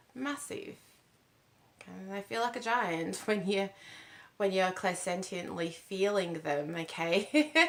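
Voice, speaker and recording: A woman talks at a medium pitch while noticeable background noise carries on behind her. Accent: Australian. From Australia. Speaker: spiritual channel host. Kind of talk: casual spiritual talk to camera. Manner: halting, many fillers.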